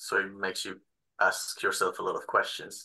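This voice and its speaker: A man speaks with a Spanish accent at a moderate pace. The background is quiet. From Spain. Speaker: assistant film editor; speaker. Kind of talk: panel discussion. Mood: thoughtful, relaxed, encouraging. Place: home room. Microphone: video call.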